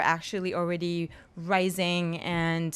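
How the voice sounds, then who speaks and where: A woman talks in a French accent at medium pitch. The recording is very clean, with a silent background. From France. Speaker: film festival founder. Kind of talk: panel discussion.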